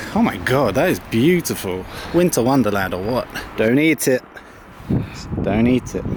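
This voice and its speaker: Amid noticeable background noise, a man speaks at a moderate pace with very wide pitch swings and long, frequent pauses. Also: medium pitch for a man. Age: 20s. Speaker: vlogger. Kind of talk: casual vlog chat.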